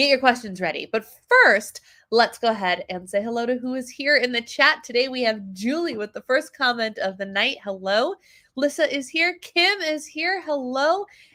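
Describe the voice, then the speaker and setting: A bright, sharp, animated tone, a raised, projected voice with very wide pitch swings at a moderate pace, all in a very clean recording with a silent background. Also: woman, high pitch for a woman. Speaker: wellness coach and livestream host. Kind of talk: casual livestream chat. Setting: livestream.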